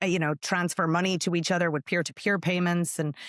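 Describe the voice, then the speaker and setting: A woman with an Irish accent speaks at a fairly low pitch with fairly even intonation, on a very clean, dry, close recording with no echo and a silent background. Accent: Irish brogue. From Ireland. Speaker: tech company executive. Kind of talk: podcast interview.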